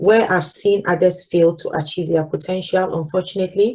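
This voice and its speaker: A woman with a Ghanaian accent speaks at a medium pitch and a moderate pace. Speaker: corporate manager giving a talk. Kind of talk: live talk with slides.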